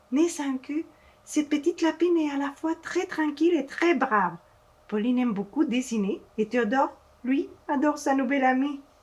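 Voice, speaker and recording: The intonation is lively while the pace stays fairly slow. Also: woman. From Mexico. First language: Spanish (speaking French). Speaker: children's author and illustrator. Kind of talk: reading aloud to children. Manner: halting, with hesitations.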